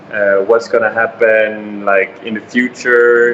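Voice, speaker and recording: A man at a fairly slow pace and medium pitch, with noticeable background noise. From Sweden. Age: 20s. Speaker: interviewee. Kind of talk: interview. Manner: hesitant fillers.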